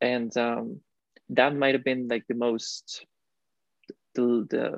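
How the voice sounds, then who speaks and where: The speech comes at a fairly slow pace, in a monotone, flat intonation. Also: man, dry, close sound with no echo. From Costa Rica. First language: Spanish. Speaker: recent graduate student. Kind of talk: interview. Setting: video call.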